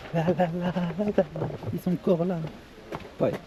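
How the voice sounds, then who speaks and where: Over noticeable background noise, a soft-spoken voice moves at a fairly slow pace with fairly even intonation. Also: man. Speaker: travel vlogger. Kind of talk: casual vlog. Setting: outdoors. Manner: casual slangy.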